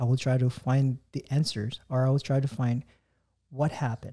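With a dark, mellow tone and a somewhat breathy quality, a man speaks at a medium pitch and moderate pace in monotone, flat intonation, with a dry, close sound with no echo. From Hawaii. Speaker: army first sergeant. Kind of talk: casual interview.

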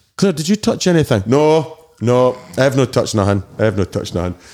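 On a very clean recording with a silent background, a man with a Dundee accent talks fairly quickly in a dark, mellow, medium-pitched voice with very wide pitch swings. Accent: Scottish (Dundee). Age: 40s. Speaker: DJ and promoter. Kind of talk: casual chat. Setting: studio.

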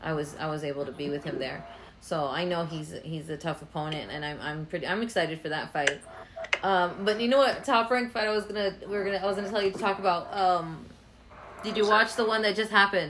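Very fast speech with lively intonation and an animated tone comes through over noticeable background noise. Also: woman, medium pitch for a woman. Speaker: podcast host. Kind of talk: casual chat interview. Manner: animated, joking.

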